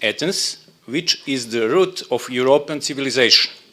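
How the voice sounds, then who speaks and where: The speaker has a Serbian accent. The pace is fairly slow. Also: man. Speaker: labour dispute agency official. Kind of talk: conference presentation. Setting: conference room. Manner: halting.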